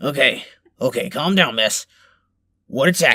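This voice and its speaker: Putting on a character voice, a man sounds raspy at a fairly high pitch. His pace is moderate and his pitch variation ordinary. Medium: audio drama. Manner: fake reassuring, casual.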